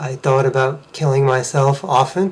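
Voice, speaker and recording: A man's somewhat breathy, medium-pitched voice in an American accent. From Massachusetts, US. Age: 40s. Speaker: vlogger sharing personal story. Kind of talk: personal testimony.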